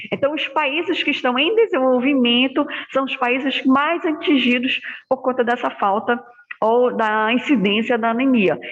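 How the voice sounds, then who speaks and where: A woman talks fairly slowly, high in pitch, her pitch varying in an ordinary way. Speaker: hematology lecturer. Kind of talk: online lecture. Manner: soft-spoken.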